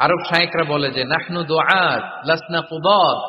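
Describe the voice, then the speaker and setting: A man with a fairly high pitch sounds animated, with noticeable background noise behind him. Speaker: Islamic preacher. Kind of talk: Islamic sermon (waz) lecture. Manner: animated, conversational, mixing English words.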